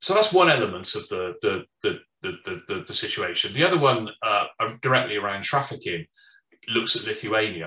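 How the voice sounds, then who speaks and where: The voice moves in very wide pitch swings. Audible room echo is present. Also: man, moderate pace. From United Kingdom. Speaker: firearms consultant, former law enforcement. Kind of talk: presentation. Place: home room. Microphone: webcam.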